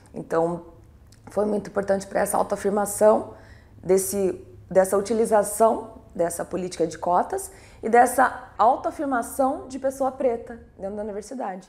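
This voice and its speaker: An ordinary speaking voice from a woman at a medium pitch, with ordinary pitch variation, a moderate pace and big swings in loudness. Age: 30s. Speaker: former quota student interviewee. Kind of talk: documentary interview.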